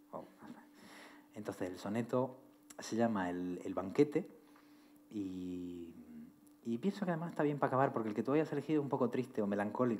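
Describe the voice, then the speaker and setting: Lively in intonation, a man talks at a fairly quick pace and a medium pitch. He leaves long, frequent pauses. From Argentina. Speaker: writer. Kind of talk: interview on stage, reading poems aloud. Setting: university hall with audience.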